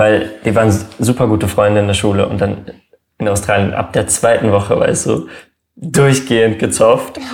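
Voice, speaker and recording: A man's normal speaking voice, fairly low in pitch, at a moderate pace. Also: ordinary pitch variation. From Germany. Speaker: YouTuber. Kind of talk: casual chat.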